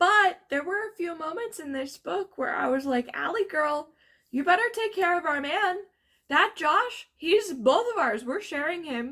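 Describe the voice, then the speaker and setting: The raised, projected voice has a bright, sharp tone and lively intonation, moving at a fairly slow pace. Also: woman, extremely high pitch for a woman. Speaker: book reviewer. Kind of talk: casual chat.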